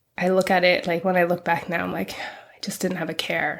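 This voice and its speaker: Vocal fry runs through a woman's fairly low voice. She moves at a fairly quick pace. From England-born, raised in western US (California from 14). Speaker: activist. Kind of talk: interview conversation. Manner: casual, hesitant with fillers.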